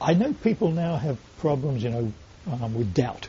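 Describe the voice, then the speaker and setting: Lively intonation carries speech at a moderate pace over noticeable background noise. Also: man. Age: 60s. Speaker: Buddhist monk, website webmaster. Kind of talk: interview in front of small audience. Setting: room with small live audience.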